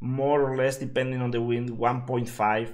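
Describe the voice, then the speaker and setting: Speaking at a moderate pace, a man talks in a Spanish accent. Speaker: game streamer. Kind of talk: live gameplay commentary. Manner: halting, many fillers.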